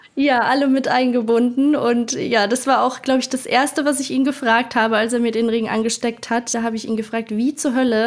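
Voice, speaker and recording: Fairly even intonation in a woman's high-pitched voice, at a moderate pace. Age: 20s. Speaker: travel influencer. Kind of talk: interview.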